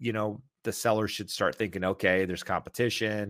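A man's fairly low voice at a fairly quick pace, dry and close with no echo, on a very clean recording with a silent background. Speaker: real estate broker. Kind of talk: live Q&A stream. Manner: steady, even-keeled.

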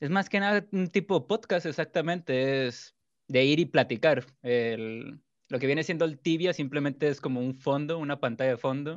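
A man speaks in a normal speaking voice, fairly high in pitch with ordinary variation. The background is quiet. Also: moderate pace. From Mexico, Culiacán, Sinaloa. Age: 20s. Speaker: gaming streamer. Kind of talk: casual chat.

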